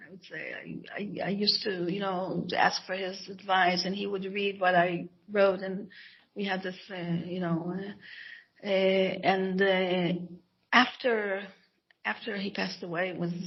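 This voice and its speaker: A woman with an Israeli accent speaks at a moderate pace and a medium pitch. Her intonation is monotone and flat, while her loudness swings widely. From Israel (Jerusalem). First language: Hebrew. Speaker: author and scholar. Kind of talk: interview. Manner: halting, many false starts.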